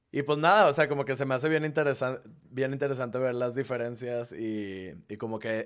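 The voice is an unremarkable speaking voice, moving at a fairly quick pace with ordinary pitch variation. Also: man. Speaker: content creator who moved to a new city. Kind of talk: casual chat.

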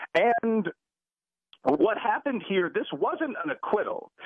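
A man's voice swings very widely in pitch as he talks with an American accent. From US Midwest, Chicago. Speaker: professor. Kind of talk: radio interview. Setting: phone call.

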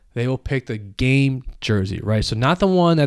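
A man with a plain, everyday voice talks at a moderate pace and medium pitch with ordinary pitch variation, recorded very clean against a silent background, the sound dry and close with no echo. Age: 30s. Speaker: sports podcast host. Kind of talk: solo podcast monologue. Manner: casual, rambling with fillers.

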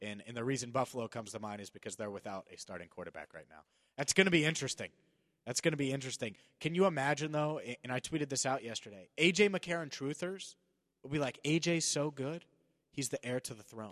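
A man with an American accent talks very fast at a fairly high pitch, with lively intonation and big swings in loudness. The sound is dry and close with no echo, over a quiet background. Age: 20s. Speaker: sports radio host. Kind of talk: casual sports talk.

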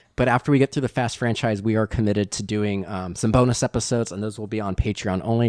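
In an American accent, a man with a fairly low pitch and ordinary pitch variation talks at a very fast pace, the sound dry and close with no echo. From US West Coast (Bay Area, California). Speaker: podcast host. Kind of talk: casual chat. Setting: video call.

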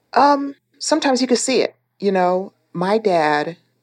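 A normal speaking voice with lively intonation moves at a fairly slow pace. The background is quiet. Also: woman. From Texas (El Paso), born in Panama. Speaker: war veteran, former prisoner of war. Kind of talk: interview testimony.

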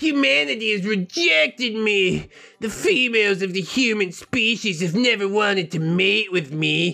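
In a put-on character voice at middle pitch, the speaker goes at a moderate pace. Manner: odd, unnatural alien-like.

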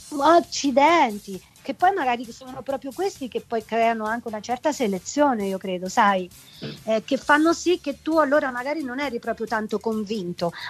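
Music plays behind a woman speaking at a moderate pace in a high voice. Her intonation is lively and her tone animated. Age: 50s. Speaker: singer. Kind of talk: casual interview.

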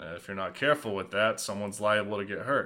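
The speaker puts on a raspy character voice. The lines come out at a very fast pace. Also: man. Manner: warning, cautionary.

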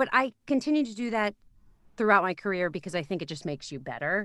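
This woman has a medium pitch and lively intonation. Her recording is very clean, with a silent background and a dry, close sound with no echo. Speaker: voiceover artist and audiobook narrator. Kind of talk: casual interview chat. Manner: natural, unpolished delivery.

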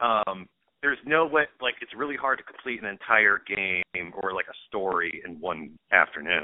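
Speaking at a moderate pace, a man uses a normal speaking voice pitched fairly low. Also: lively intonation, big swings in loudness. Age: 30s. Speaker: comedian. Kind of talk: casual chat.

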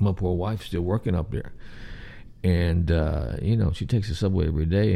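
A man with a Southern US accent talks at a fairly quick pace with lively intonation. His very deep, low voice has a dark, mellow tone. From US South. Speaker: podcast host. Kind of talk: casual solo stream-of-consciousness talk. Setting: home, late night, live stream. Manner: rambling, casual.

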